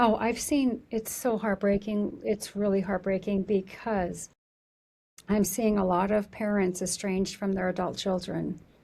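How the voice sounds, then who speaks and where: On a very clean recording with a silent background, a woman with a somewhat breathy, dark, mellow tone and medium pitch speaks fairly slowly, with fairly even intonation and very even loudness. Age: 50s. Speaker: therapist. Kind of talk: interview conversation. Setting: studio.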